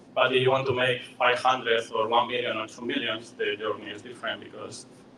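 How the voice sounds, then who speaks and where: In a Spanish accent, a man speaks at a medium pitch and moderate pace with monotone, flat intonation over noticeable background noise. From Spain, Madrid. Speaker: software engineer and coach. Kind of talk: presentation. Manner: halting, many fillers.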